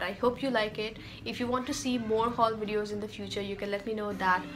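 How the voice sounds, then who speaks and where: A woman's fairly even intonation amid audible room echo, with music in the background. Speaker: beauty and fashion vlogger. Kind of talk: haul video talk to camera. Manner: fast.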